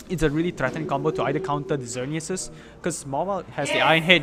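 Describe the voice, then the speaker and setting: A man speaks at a very fast clip in a fairly high voice, with ordinary variation in pitch. Noticeable background noise runs underneath. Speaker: esports commentator. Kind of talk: live commentary. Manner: animated.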